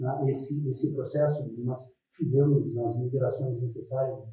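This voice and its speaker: Slightly breathy and dark, mellow in tone, a man's fairly high voice moves at a fairly slow pace with audible room echo. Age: 60s. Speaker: educational technician at a federal school. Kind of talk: interview testimony. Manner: hesitant, many fillers.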